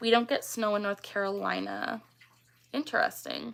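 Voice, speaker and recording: A woman talks at a fairly quick pace. She has a slight Canadian accent. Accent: slight Canadian, mistaken for Minnesotan. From Canada. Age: 20s. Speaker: tic disorder awareness streamer. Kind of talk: casual livestream chat.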